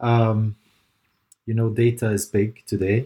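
A man speaks in a fairly low, somewhat breathy voice with a dark, mellow tone and fairly even intonation, on a very clean recording with a silent background. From Lebanon, raised in Dubai. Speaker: digital transformation consultant. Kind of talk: interview.

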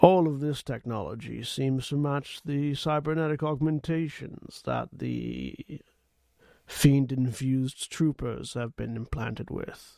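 A man puts on a robotic character voice at medium pitch. He talks at a fairly slow pace. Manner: measured, analytical.

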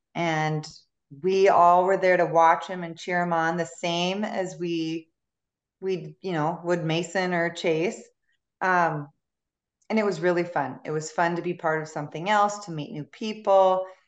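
A woman talks at a fairly slow pace. Her fairly low voice stays monotone and flat. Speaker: guest, hockey mom.

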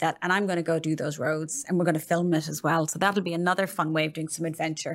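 On a very clean recording with a silent background, a woman talks with an Irish accent. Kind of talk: podcast hosting, casual intro and outro. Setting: studio.

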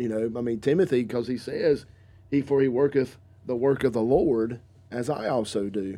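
With a dark, mellow tone, the speaker goes at a moderate pace and varies pitch in an ordinary way. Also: man. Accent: Southern. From US South, North Carolina. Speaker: pastor. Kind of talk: casual chat. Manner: halting.

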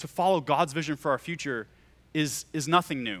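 With an American accent, a man talks at a moderate pace in a fairly high pitch, his tone bright and sharp on a very clean recording with a silent background. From Oklahoma. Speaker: youth pastor. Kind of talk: sermon. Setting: church with live audience.

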